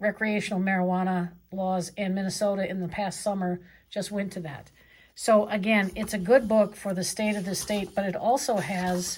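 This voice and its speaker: The recording is very clean with a silent background. A woman speaks at a medium pitch, somewhat breathy, with monotone, flat intonation. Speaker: professor. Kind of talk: lecture. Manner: fast.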